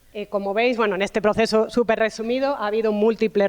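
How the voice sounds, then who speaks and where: A woman talks at a fairly quick pace. She has a southern Spanish accent. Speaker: university professor of food sociology. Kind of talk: talk at a round table.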